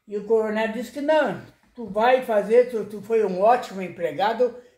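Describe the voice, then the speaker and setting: His tone comes across dark and mellow. The man's voice is pitched high. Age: 80s+. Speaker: retired dentist. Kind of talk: oral history interview. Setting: at his home. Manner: halting, repetitive.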